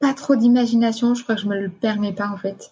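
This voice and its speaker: Her intonation flat and monotone, a woman talks at a medium speed. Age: 20s. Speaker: nurse. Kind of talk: personal testimony. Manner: hesitant.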